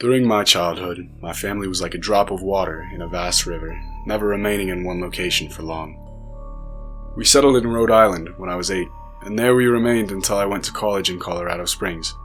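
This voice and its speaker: Fairly low-pitched male speech at a fairly quick pace with ordinary pitch variation, music playing in the background. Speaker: narrator. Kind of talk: horror story narration.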